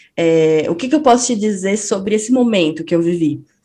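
Using an unremarkable speaking voice, a woman speaks at a moderate pace with lively intonation. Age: 30s. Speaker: psychologist and stay-at-home mother. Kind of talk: casual chat.

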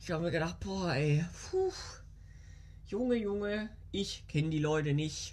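The speech moves at a fairly slow pace with long, frequent pauses and ordinary pitch variation. There is audible room echo. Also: woman, fairly low pitch for a woman. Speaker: podcast host. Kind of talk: casual monologue. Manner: animated. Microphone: new small microphone.

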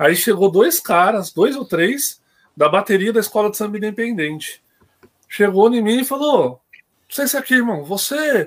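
A man's high voice with very wide pitch swings at a moderate pace. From Greater São Paulo (ABC region), Brazil. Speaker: football supporter. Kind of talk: casual chat. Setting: online live stream.

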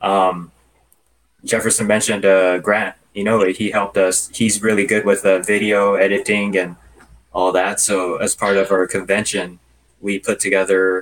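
Flat and monotone, a man with a Californian accent speaks in a fairly low voice. His pace is moderate. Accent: Californian American English. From Los Angeles, California. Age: 30s. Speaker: religious youth association president. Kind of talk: interview.

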